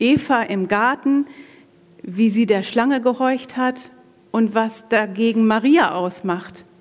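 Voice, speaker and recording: Noticeable background noise sits behind a woman with a fairly high voice. She speaks very slowly, her intonation lively. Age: 40s. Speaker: women's ministry speaker, pastor's wife. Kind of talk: sermon-style talk at church women's event.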